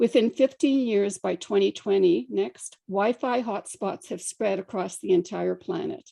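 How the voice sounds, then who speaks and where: A woman with a dark, mellow tone and vocal fry speaks at a fairly slow pace with lively intonation and hardly any pauses, in a dry, close sound with no echo. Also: medium pitch for a woman. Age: 70s. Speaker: scientist presenting to a government council. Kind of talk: slide presentation. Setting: council meeting. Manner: formal.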